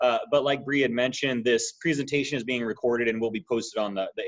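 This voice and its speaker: He talks at a very fast pace with an American accent. His pitch sits in the medium range for a man. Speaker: education consultant. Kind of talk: webinar presentation. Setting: video call webinar. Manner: casual, many filler words.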